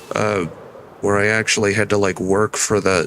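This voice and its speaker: Someone speaks at a moderate pace with monotone, flat intonation over noticeable background noise. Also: man. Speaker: vtuber streamer. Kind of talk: casual gaming stream commentary.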